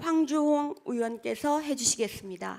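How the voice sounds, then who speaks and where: A woman is speaking. Her pace is fairly slow. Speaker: meeting chair. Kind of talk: formal meeting proceedings. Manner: formal.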